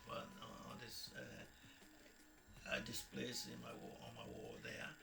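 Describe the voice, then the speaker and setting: Noticeable background noise runs under a man who speaks at a very slow pace. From Nigeria. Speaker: former navy marine engineer, radio DJ and politician. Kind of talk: interview answer. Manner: hesitant, conversational.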